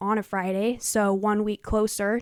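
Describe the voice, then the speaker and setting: A very clean recording with a silent background, dry and close with no echo. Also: woman. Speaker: YouTuber, fan commentator. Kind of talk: casual video commentary. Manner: fast.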